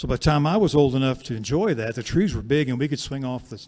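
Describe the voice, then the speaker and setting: A man with an American accent at a fairly quick pace. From Kansas. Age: 60s. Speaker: singer and storyteller. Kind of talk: storytelling between songs. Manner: conversational.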